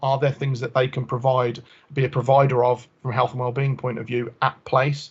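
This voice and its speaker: A man's somewhat breathy voice at a very fast pace, with monotone, flat intonation. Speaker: health engagement officer. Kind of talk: committee presentation.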